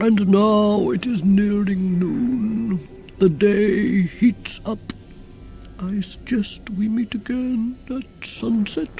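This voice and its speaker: A put-on character voice at a very slow pace and fairly high pitch, with clear background noise. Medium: read story. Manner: dry, measured, ironic.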